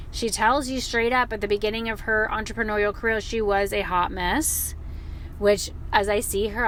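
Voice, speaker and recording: Over noticeable background noise, a woman with a fairly high pitch talks at a moderate pace in an animated tone with ordinary pitch variation. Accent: American. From US South. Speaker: podcast host. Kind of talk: podcast interview.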